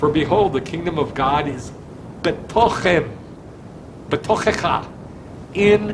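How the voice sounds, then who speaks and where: A man talks at a very slow pace with long, frequent pauses and ordinary pitch variation, his voice carrying audible room echo over noticeable background noise. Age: 60s. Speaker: rabbi. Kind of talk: sermon. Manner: animated.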